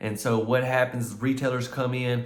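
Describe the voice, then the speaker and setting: In a room with audible echo, a man with an American accent talks in a monotone, flat intonation. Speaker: mobile home tour youtuber. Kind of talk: video home tour. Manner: casual, talkative; hesitant, many fillers.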